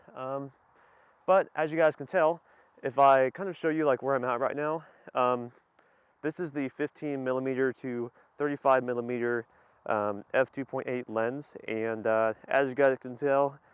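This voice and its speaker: The speaker keeps a moderate pace and fairly even intonation. The sound is dry and close with no echo, over a quiet background. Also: man, medium pitch for a man. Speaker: car and camera gear vlogger. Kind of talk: vlog. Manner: hesitant, many fillers.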